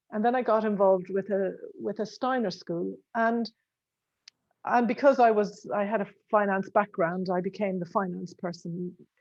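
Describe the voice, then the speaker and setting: A woman with an Irish accent speaks at a moderate pace. Her intonation stays fairly even. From Ireland. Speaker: accountant. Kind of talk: casual chat. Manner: halting.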